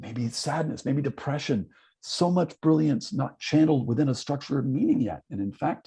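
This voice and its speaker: Pitched fairly high, a man's voice has vocal fry and a dark, mellow tone, with ordinary pitch variation. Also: moderate pace. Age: 60s. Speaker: psychologist and keynote speaker. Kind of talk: online conference talk.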